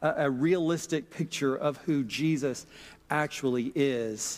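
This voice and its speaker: A man with a Southern US accent speaks fairly slowly in a fairly high pitch. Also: very clean recording, silent background. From Mississippi, US South. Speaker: pastor. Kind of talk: sermon.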